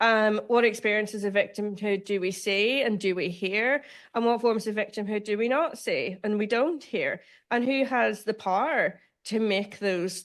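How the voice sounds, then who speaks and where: In a Northern Irish accent, a woman with a fairly high pitch talks at a moderate pace with ordinary pitch variation over a quiet background. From Northern Ireland. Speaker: law professor. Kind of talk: lecture.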